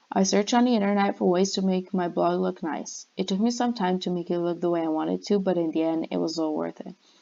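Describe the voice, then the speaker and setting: Speaking very fast with hardly any pauses, a woman with a non-native accent uses a fairly low pitch and a dark, mellow tone against a quiet background. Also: ordinary pitch variation. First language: not English. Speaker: university student. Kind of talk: class presentation. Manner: scripted, read-out delivery.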